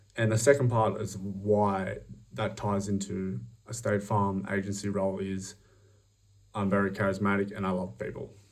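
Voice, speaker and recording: The speaker has an Australian accent and fairly even intonation at a moderate pace. Room echo is audible. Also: man, fairly low pitch for a man. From Australia, outback. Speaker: job applicant. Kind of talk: recorded job application video. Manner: hesitant, many fillers.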